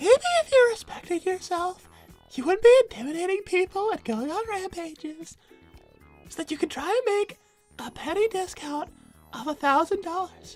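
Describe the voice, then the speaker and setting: With faint music behind her, a woman uses a put-on character voice at an extremely high pitch, moving at a moderate pace with big swings in loudness. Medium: game stream. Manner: haughty, confrontational.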